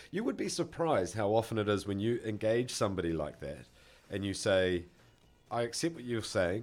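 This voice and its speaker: Speaking at a fairly quick pace, a man with a New Zealand accent uses a medium pitch and lively intonation. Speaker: podcast co-host. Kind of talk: casual chat.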